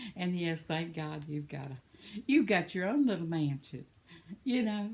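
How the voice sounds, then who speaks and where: A woman's somewhat breathy voice at a fairly low pitch. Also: lively intonation, moderate pace. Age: 70s. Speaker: vlogger. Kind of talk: casual chat. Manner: rambling.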